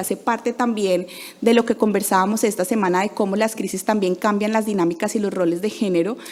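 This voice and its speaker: Against noticeable background noise, a woman talks at a fairly high pitch with ordinary pitch variation. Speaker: NGO program manager. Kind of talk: conference talk. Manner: fast.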